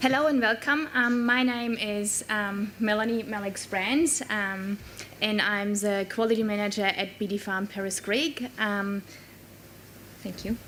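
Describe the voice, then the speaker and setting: A woman with a German accent speaks at a fairly slow pace, her fairly high pitch showing ordinary variation. Noticeable background noise is present. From Germany. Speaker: quality manager at a dairy farm. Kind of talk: conference keynote talk. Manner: halting, many fillers.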